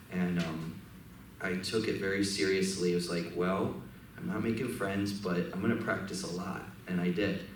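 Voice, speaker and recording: A man with an American accent speaks at a moderate pace in a very deep, low pitch. Room echo is audible, and there is noticeable background noise. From Michigan, then Sarasota, Florida from age 14. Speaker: jazz pianist and bandleader. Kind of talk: on-stage talk between songs. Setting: stage with audience. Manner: casual, hesitant with many fillers.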